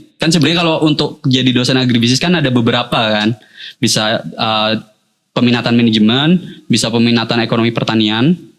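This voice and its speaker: Talking at a very fast pace with a Jakarta accent, a man holds a medium pitch with ordinary variation and very even loudness. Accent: Jakarta-like Indonesian. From Purwokerto, Central Java, Indonesia. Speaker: university lecturer. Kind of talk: casual interview.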